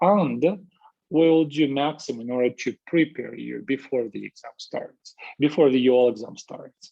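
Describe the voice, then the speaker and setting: A man with a Russian accent and a dark, mellow tone speaks fairly slowly in a fairly high pitch, with ordinary pitch variation and big swings in loudness. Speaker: university lecturer. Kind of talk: lecture. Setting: video call. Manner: halting, many fillers.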